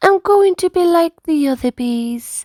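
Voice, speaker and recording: A put-on character voice from a woman, squeaky and extremely high-pitched, at a fairly slow pace. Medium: read story. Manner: gentle.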